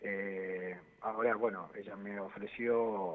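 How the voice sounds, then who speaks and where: The speaker is male. His pitch moves up and down in a typical way. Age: 60s. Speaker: constitutional lawyer and political candidate. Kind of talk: interview. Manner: animated.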